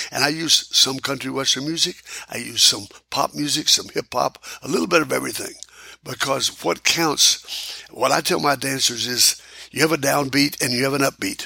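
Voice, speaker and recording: Noticeable background noise runs beneath speech at a moderate pace. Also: man. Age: 80s+. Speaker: square dance caller and music producer. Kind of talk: casual interview.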